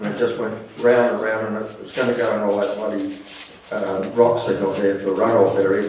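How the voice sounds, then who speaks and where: Speaking at a fairly quick pace, a man with a fairly low pitch keeps a monotone, flat intonation amid audible room echo and noticeable background noise. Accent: Australian. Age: 70s. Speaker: retired motorcycle racer. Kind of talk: casual interview.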